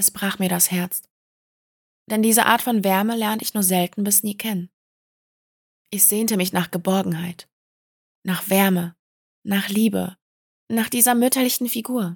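A woman's somewhat breathy voice at a moderate pace, with fairly even intonation and long, frequent pauses. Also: medium pitch for a woman, dry, close sound with no echo. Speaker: podcast host. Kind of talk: personal testimony monologue.

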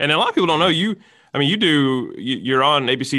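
A man at a medium pitch talks at a very fast pace. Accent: Alabama. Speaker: podcast host. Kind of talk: casual interview.

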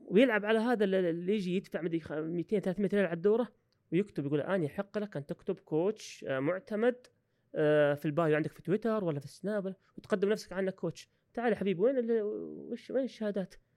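Fairly quick and high-pitched, a man speaks in a dry, close sound with no echo. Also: ordinary pitch variation. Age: 30s. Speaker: university professor and coach. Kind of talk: podcast interview.

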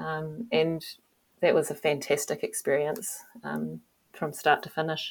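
A woman with a New Zealand accent speaks with long, frequent pauses. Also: fairly slow pace. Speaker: former ocean racing sailor. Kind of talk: interview. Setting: video call.

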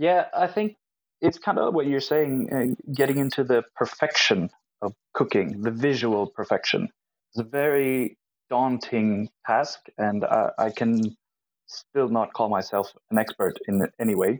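In a normal speaking voice, a man of medium pitch talks at a fairly slow pace with very even loudness, in a dry, close sound with no echo and a very clean recording with a silent background. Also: lively intonation. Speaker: professional chef. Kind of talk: casual chat.

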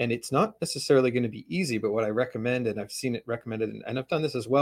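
A man with a medium-pitched voice speaks with a Western Canadian accent. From Canada, West Coast (Vancouver area). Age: 40s. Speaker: author. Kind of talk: interview conversation.

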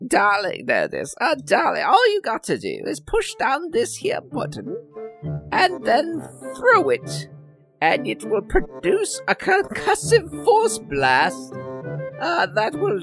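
A man talks at a fairly slow pace in a put-on character voice, with clear music playing in the background. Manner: folksy, explanatory.

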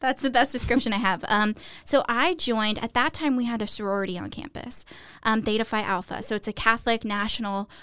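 A woman speaks in a normal speaking voice with an American accent, her fairly high pitch moving with ordinary variation at a moderate pace over a very clean recording with a silent background. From South Texas. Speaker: university Title IX officer. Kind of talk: interview.

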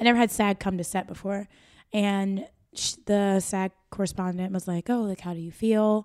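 This is a normal speaking voice from a woman with an American accent at medium pitch. She talks at a moderate pace in a very clean recording with a silent background. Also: fairly even intonation. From US Midwest, Akron, Ohio (northeast Ohio). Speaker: actor. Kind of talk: casual interview chat.

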